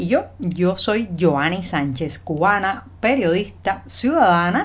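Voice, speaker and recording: In a normal speaking voice, a woman talks at a medium pitch with lively intonation. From Cuba, Havana. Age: 40s. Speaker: journalist and video commentator. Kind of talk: news commentary monologue. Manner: conversational.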